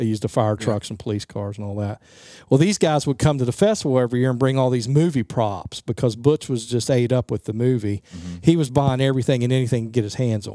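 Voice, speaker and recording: A man with an American accent at a very fast pace, medium pitch, dark and mellow tone, and ordinary pitch variation, in a very clean recording with a silent background and a dry, close sound with no echo. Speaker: local festival organizer. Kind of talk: interview. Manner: casual, many fillers.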